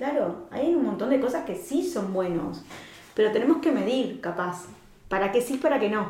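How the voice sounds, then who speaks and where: A woman is speaking with noticeable background noise. Audible room echo is also present. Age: 40s. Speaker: life coach. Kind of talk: casual interview chat.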